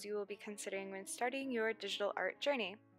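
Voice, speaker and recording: Music plays behind a woman as she talks. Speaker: digital art youtuber. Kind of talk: tutorial.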